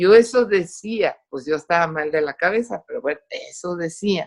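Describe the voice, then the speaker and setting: Her medium-pitched voice moving at a very slow pace, a woman speaks. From Costa Rica, raised in English until moving to Mexico at 8-9. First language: English (speaking Spanish). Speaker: testimony giver, doctor. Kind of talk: testimony. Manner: animated.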